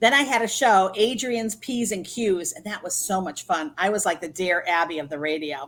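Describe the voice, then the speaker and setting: An unremarkable speaking voice from a woman at medium pitch. She talks at a moderate pace with lively intonation. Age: 60s. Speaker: etiquette trainer and business consultant. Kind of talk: interview.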